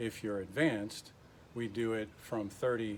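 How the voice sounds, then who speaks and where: Through noticeable background noise comes a man's fairly low-pitched voice. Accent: American. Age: 60s. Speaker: retired Marine, fitness instructor. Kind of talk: casual workout tutorial to camera. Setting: home garage gym.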